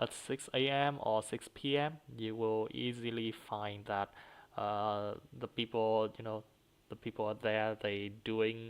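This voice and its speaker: In a Vietnamese accent, the speaker goes at a fairly slow pace on a very clean recording with a silent background. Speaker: student practicing for exam. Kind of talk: exam speaking practice. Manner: halting, many fillers and repetitions.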